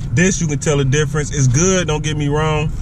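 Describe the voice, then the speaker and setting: Here a man speaks with ordinary pitch variation. The sound is dry with no echo, and background noise is noticeable. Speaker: food reviewer. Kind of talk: casual food review chat. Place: car. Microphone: phone near.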